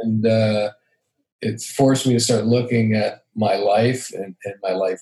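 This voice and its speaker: A man's dark, mellow, somewhat breathy voice. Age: 60s. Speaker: podcast guest. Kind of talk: casual conversation. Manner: halting.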